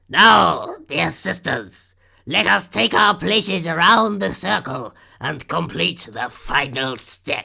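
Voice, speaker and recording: A put-on character voice from a man, fairly high in pitch, croaky and raspy, at a fairly slow pace. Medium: read story. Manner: drawling, with clicking from the mouth.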